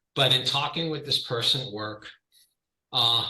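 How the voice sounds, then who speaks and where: A man with a New York accent at a fairly quick pace, with audible room echo. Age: 50s. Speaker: client giving a fitness testimonial. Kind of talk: testimony. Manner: loud.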